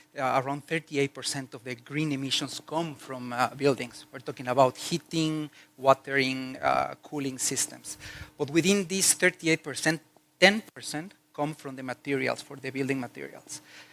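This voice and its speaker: A man with a bright, sharp tone and a fairly high pitch speaks at a moderate pace with ordinary pitch variation. His loudness swings widely, and the sound is dry and close with no echo. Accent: Mexican. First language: Spanish. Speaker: corporate HR executive. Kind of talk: conference talk. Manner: hesitant, many fillers.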